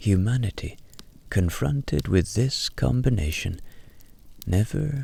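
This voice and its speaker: A soft-spoken man with a calm tone talks at a very slow pace. His somewhat breathy voice moves in very wide pitch swings. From Ireland. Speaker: storyteller and voiceover artist. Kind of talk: sleep story. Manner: soft, slow, calm.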